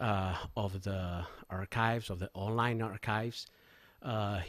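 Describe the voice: At a slow pace, a man speaks with a fairly low pitch, a fairly bright tone and fairly even intonation.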